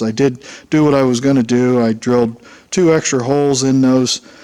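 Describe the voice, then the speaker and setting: Noticeable background noise sits behind a man's voice. He speaks at medium pitch and a moderate pace. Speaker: homebuilt aircraft builder. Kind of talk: casual workshop vlog. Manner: halting, many fillers.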